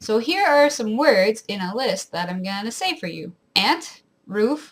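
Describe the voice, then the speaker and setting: Somewhat breathy and fairly high in pitch, a woman with an Ontario accent speaks with very wide pitch swings. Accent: mild rural Ontario Canadian. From rural southwestern Ontario, Canada. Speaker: vlogger. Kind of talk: casual talk to camera.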